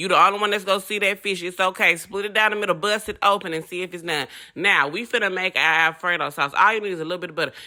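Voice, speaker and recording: A woman with a Southern accent, medium pitch, and a bright, sharp, animated tone, racing at a very fast pace with hardly any pauses on a very clean recording over a silent background. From US South. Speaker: home cooking channel host. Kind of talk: cooking tutorial.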